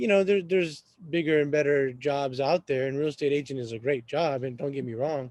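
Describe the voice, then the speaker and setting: A fairly quick pace with ordinary pitch variation. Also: man, fairly high pitch for a man. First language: Arabic. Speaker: real estate agent and café owner. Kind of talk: podcast interview. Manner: halting.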